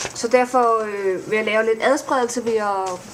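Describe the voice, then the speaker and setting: A woman is speaking. Her pace is fairly slow. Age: 30s. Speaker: vlogger and blogger. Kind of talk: casual vlog introduction. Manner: hesitant, many fillers.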